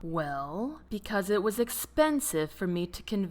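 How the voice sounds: This is a natural reading voice. It is heard on its own.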